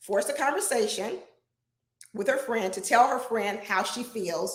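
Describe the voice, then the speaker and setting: A woman talks in an animated tone with a fairly high pitch at a moderate pace. Room echo is audible. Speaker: relationship advice show host. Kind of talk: live stream advice talk. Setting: live broadcast. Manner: loud.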